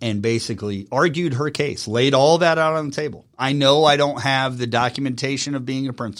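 Speaking in a normal speaking voice at a moderate pace, a man with a medium pitch uses lively intonation on a very clean recording with a silent background. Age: 40s. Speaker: marketing CEO and former radio personality. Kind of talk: casual interview. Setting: studio.

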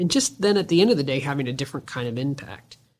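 In a very clean recording with a silent background, a woman speaks with a very deep, low voice. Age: 50s. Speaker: podcast host, business owner. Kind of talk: podcast monologue and interview.

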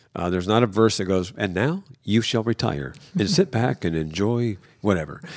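A man talks in an ordinary speaking voice at a fairly low pitch. His intonation is lively and his pace moderate. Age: 60s. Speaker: pastor. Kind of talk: casual chat. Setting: studio.

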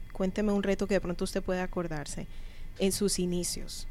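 A woman has an ordinary speaking voice. She talks at a moderate pace with ordinary pitch variation. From Colombia. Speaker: radio host and business coach. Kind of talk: interview. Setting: studio.

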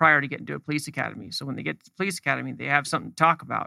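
The recording is dry and close, with no echo. A man talks in an American accent. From northern California, Santa Cruz Mountains. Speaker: security company founder. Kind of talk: interview. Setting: radio studio.

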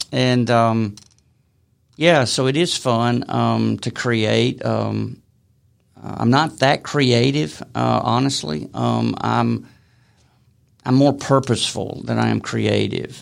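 A man with a Southern US accent speaks at a very slow pace, leaving long, frequent pauses. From Alabama. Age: 60s. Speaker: author. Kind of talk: interview. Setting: studio. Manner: halting.

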